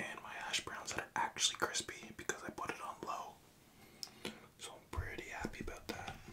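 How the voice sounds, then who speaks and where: Whispering at a fairly slow pace, a man speaks in a relaxed tone. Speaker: ASMR content creator. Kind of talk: casual talk to camera. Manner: whispered, relaxed. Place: home room.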